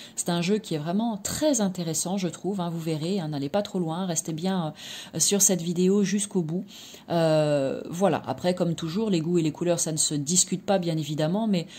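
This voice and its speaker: Her dark, mellow tone is somewhat breathy, as this woman holds a fairly even intonation. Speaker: tarot card reader and energy therapist. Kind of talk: product review and card presentation. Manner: hesitant, many fillers; soft-spoken.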